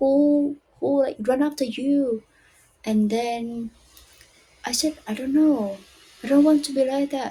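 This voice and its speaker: A woman with a non-native accent speaks at a high pitch with fairly even intonation. She leaves long, frequent pauses. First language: not English. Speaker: English learner. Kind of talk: casual talk to camera.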